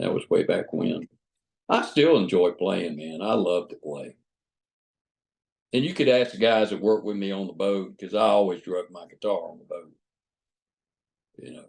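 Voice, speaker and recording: Someone with an Alabama accent speaks at a moderate pace, leaving long, frequent pauses, with big swings in loudness. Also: man. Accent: Southern US (Alabama). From US Gulf Coast, Mobile, Alabama. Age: 60s. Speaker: retired boat captain. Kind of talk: interview. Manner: halting, many fillers and repeats.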